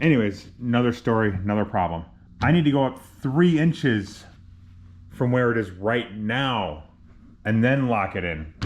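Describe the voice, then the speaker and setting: A man at medium pitch and a moderate pace, with lively intonation and long, frequent pauses. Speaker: DIY car builder, garage channel host. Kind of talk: casual workshop vlog, talking to camera. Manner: casual, thinking aloud with self-corrections.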